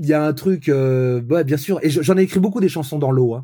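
On a very clean recording with a silent background, the voice has a dark, mellow tone, a moderate pace and ordinary pitch variation. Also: man. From France, Brittany (Vannes). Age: 40s. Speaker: pop singer-songwriter. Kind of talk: casual interview.

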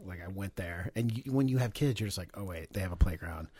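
A plain, everyday voice, its pitch shifting in an ordinary way. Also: man, very clean recording, silent background. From Texas. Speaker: chef and restaurant owner. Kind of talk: casual interview. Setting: studio.

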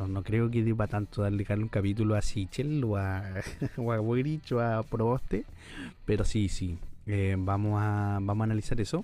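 With music in the background, a man speaks fairly slowly in a fairly low pitch, his intonation fairly even and his loudness very even. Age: 20s. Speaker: podcast co-host, law student. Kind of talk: casual chat.

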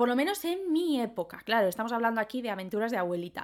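An animated woman's voice with very wide pitch swings, on a very clean recording with a silent background. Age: 20s. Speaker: podcaster. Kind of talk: casual monologue.

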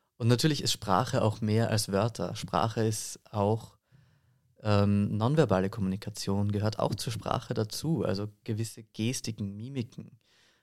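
A man talks in a normal speaking voice, fairly low in pitch, with fairly even intonation at a fairly slow pace. The recording is very clean, with a silent background. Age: 20s. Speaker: voice and singing teacher, actor. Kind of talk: interview.

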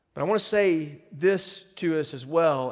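An ordinary speaking voice belongs to this man. He speaks fairly slowly, with lively intonation. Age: 30s. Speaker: pastor. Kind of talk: sermon. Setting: church.

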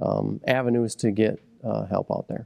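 A man with an American accent talks at a fairly slow pace with fairly even intonation. He has an ordinary speaking voice. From Michigan, Midland County. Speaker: county sheriff. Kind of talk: interview.

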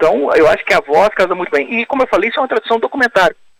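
Recorded with a dry, close sound and no echo, a man talks with very wide pitch swings. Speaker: film critic and writer. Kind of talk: interview. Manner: calm.

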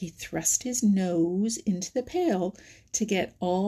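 Pitch moves up and down in an ordinary way. The text is read aloud in a natural voice.

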